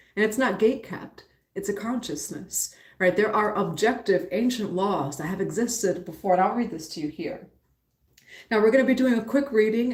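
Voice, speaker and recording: Speaking at a fairly quick pace with an American accent, the voice is somewhat breathy and shows ordinary pitch variation. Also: woman. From New York, the Bronx. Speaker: spiritual teacher and tarot reader. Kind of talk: live-stream reading and spiritual teaching.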